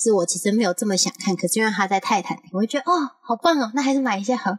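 Somewhat breathy and animated, a woman speaks at a medium pitch with lively intonation, in a dry, close sound with no echo. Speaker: podcast co-host. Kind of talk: casual chat.

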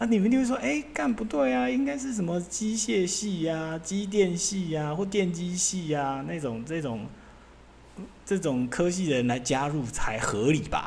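At a moderate pace, a man with a high voice swings his pitch very widely amid audible room echo. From Taiwan. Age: 40s. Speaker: podcast host, former semiconductor equipment engineer. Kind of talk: casual solo monologue. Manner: loose, filler-heavy, casual with swearing.

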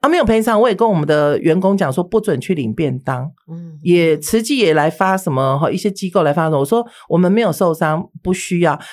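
A plain, everyday voice with lively intonation and hardly any pauses. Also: woman, fairly low pitch for a woman. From Taiwan, mainlander family. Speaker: beauty instructor and spirit medium. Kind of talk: interview storytelling.

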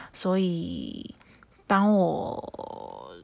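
A woman speaks at a fairly low pitch. The recording is very clean with a silent background. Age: 20s. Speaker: podcast host. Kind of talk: casual solo chat.

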